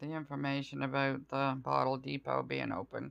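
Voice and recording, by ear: At a moderate pace, a woman with an extremely low pitch and little pitch movement speaks in a clear, smooth tone with vocal fry.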